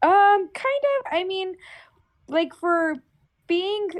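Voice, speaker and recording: A woman's voice with very wide pitch swings. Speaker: haunt actor. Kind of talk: podcast interview. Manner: halting, many fillers.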